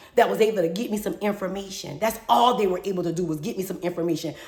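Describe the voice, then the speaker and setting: An animated woman's voice over noticeable background noise. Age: 50s. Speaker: podcast host. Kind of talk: personal monologue. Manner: fast.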